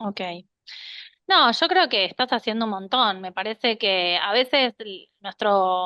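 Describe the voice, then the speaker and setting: Slowly, at a very slow pace, a woman with a fairly high pitch speaks with lively intonation and big swings in loudness. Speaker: cardiologist. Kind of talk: health talk with Q&A.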